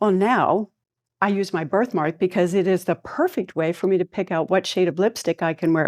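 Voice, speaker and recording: A woman's plain, everyday voice at a moderate pace, dry and close with no echo, in a very clean recording with a silent background. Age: 60s. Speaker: clinical pharmacist and tango dancer giving a talk. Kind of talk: motivational talk.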